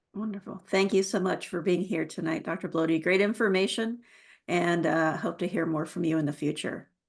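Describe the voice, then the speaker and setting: An unremarkable speaking voice from a woman, fairly low-pitched, with fairly even intonation, at a fairly quick pace against a quiet background. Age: middle-aged. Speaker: forum moderator. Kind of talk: moderated online forum.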